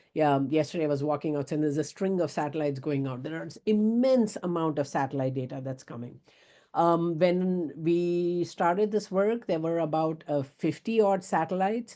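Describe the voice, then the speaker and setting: Against a quiet background, a woman with a dark, mellow tone and fairly low pitch speaks with lively intonation. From India, Bombay. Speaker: professor. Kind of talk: lecture. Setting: video call. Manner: fast.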